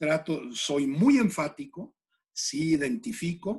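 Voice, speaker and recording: Very wide pitch swings mark this man's somewhat breathy voice. He speaks at a very slow pace. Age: 60s. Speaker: executive coach. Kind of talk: interview. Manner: halting, with many fillers.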